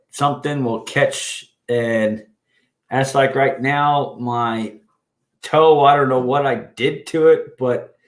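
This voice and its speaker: Speaking at a very slow pace, a man with a fairly high pitch keeps his intonation fairly even in a very clean recording with a silent background. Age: 50s. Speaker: livestream host. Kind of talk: casual chat. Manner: loud; halting.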